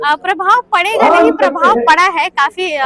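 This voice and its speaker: Noise can be clearly heard in the background. A woman talks at a medium speed. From eastern Uttar Pradesh, Kushinagar. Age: young. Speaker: poet and activist. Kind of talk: interview. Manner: hesitant, many filler sounds.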